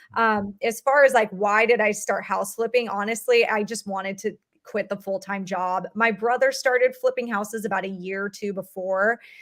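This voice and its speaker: Speaking with a Californian accent at a moderate pace, the voice keeps fairly even intonation and hardly any pauses. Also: woman, medium pitch for a woman. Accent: Californian American English. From Southern California. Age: 30s. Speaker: real estate investor. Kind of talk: podcast interview.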